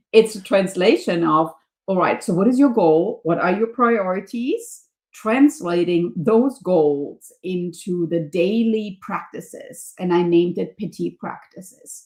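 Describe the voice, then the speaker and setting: This woman speaks with a German accent and lively intonation. Her pace is fairly slow. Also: medium pitch for a woman. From Germany. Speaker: professor and leadership coach. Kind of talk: podcast interview.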